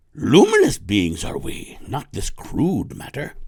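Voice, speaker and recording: A man puts on a character voice. He speaks at a fairly slow pace. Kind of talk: inverted, archaic speech. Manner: affectionate mimicry.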